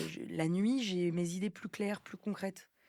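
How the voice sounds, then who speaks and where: Fairly unhurried female speech at a medium pitch, its pitch moving in a normal way. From France. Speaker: singer, actress, comedian. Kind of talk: podcast interview answer. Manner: casual, hesitant.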